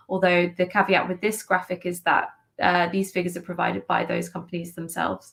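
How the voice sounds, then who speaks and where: Somewhat breathy, a woman talks at medium pitch. She keeps a fairly quick pace. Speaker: NGO policy advocate. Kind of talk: conference presentation. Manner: fast.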